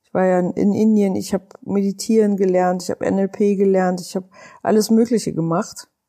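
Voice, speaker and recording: In a very clean recording with a silent background, a woman speaks at a moderate pace and medium pitch, her dark, mellow tone kept in a monotone, flat intonation. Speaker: podcast host, life coach. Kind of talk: personal testimony monologue. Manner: hesitant with fillers.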